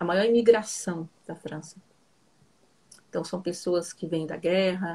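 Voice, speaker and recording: Somewhat breathy and fairly low in pitch, a woman speaks at a fairly slow pace. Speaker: psychoanalyst. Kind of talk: casual chat. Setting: live stream video call.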